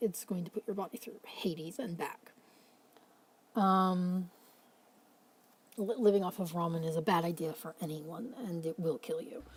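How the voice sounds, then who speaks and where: At a moderate pace and medium pitch, a somewhat breathy woman speaks with ordinary pitch variation and long, frequent pauses. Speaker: mental health vlogger. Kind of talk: casual late-night talk to camera. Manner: rambling, pausing, stuttering.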